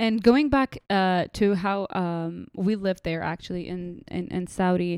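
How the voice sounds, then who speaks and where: Speaking at a fairly slow pace with an Arabic accent, a woman of medium pitch has a dark, mellow tone and ordinary pitch variation, recorded dry and close with no echo in a very clean recording with a silent background. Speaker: podcast guest, postgrad student. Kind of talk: casual interview chat.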